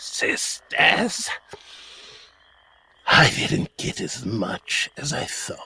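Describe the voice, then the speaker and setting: Putting on a character voice, a man speaks very slowly in a menacing tone. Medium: actual play. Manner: mocking, menacing.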